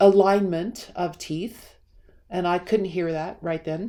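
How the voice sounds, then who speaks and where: A woman at a very slow pace, dark, mellow tone and monotone, flat intonation. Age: 60s. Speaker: personal wellness video creator. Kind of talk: personal vlog monologue. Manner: conversational, meandering.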